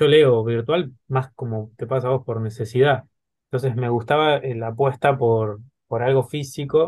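This man's voice is somewhat breathy and medium in pitch. He speaks at a fairly slow pace with fairly even intonation. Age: 30s. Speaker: podcast host. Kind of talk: interview.

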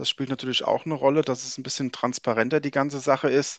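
The recording has a dry, close sound with no echo. A man speaks at a medium pitch with fairly even intonation in a plain, everyday voice. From Frankfurt, Hesse, Germany. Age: 40s. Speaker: ice hockey journalist. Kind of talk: casual chat.

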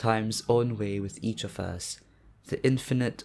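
A man with a plain, everyday voice talks at a fairly slow pace with fairly even intonation. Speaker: poetry reader. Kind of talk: poem read aloud, performed. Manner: measured, solemn, deliberate.

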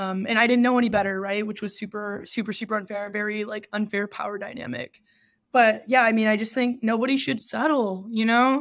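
A woman with an American accent speaks fairly quickly in an unremarkable speaking voice, fairly high in pitch and fairly even in intonation. The recording is very clean, with a silent background. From Texas. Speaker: podcast guest. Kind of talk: casual interview.

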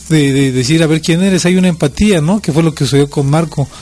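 Over noticeable background noise, a man speaks in a fairly high voice with ordinary pitch variation. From Mexico City. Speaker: fraternity president and public speaker. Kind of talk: interview.

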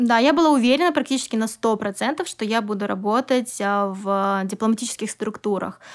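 An unremarkable speaking voice from a woman, fairly high in pitch, with ordinary pitch variation, a moderate pace and hardly any pauses, on a very clean recording with a silent background. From Kazakhstan, Almaty. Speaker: English teacher and business owner. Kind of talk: interview.

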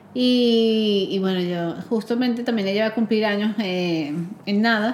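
With fairly even intonation, a woman speaks at a medium pitch. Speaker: podcast host. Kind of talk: casual chat. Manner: talkative.

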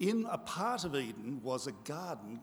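A man talks at a medium pitch in an Australian accent. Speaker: pastor. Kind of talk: sermon. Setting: church.

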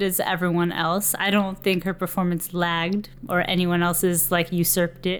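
A woman speaks at a moderate pace and a medium pitch. It is an unremarkable speaking voice. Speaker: podcast host. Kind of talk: casual chat.

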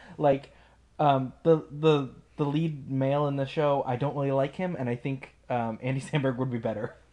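This man has an ordinary speaking voice, fairly high in pitch, with fairly even intonation at a moderate pace. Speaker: podcast host. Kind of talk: casual chat.

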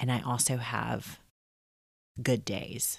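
With a very deep, low pitch and vocal fry, a woman speaks at a very slow pace in a dry, close sound with no echo. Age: 30s. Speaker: podcast host. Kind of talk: personal monologue. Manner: casual.

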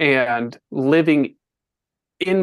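A man's ordinary speaking voice, fairly high-pitched, with ordinary pitch variation against a quiet background. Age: 40s. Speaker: podcast guest sharing personal story. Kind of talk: testimony.

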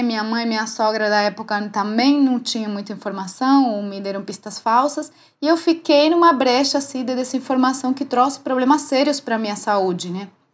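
Lively intonation in a Spanish accent. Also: woman. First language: Spanish (speaking Portuguese). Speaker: dancer and menopause educator. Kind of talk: casual interview chat.

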